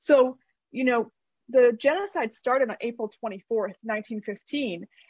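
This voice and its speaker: An ordinary speaking voice with a Canadian accent and ordinary pitch variation, dry and close with no echo. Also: woman. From Canada. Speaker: author. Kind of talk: casual interview. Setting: video call.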